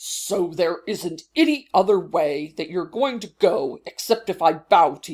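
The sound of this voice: Here the text is read in an unforced reading voice.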